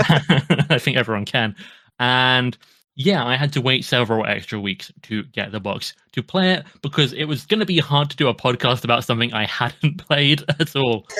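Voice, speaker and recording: This man has a British accent, a medium pitch and a bright, sharp tone, speaking at a moderate pace with lively intonation. The recording is very clean and the background silent. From UK. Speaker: podcast host. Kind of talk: casual chat.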